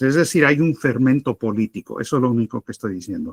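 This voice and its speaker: Speaking at a moderate pace, a man with a medium pitch uses lively intonation in a very clean recording with a silent background and a dry, close sound with no echo. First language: Spanish (speaking Portuguese). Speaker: political analyst. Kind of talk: debate answer.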